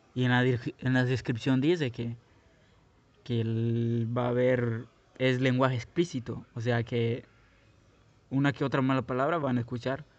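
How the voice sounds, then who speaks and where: A man at medium pitch, talking at a fairly slow pace. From Guatemala. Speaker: podcaster. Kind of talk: personal monologue. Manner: halting, many fillers.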